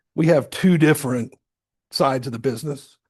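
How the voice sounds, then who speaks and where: A somewhat breathy man with a fairly high pitch, against a quiet background. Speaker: business owner, retired Air Force officer, guest lecturer. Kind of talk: guest lecture. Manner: conversational, informal.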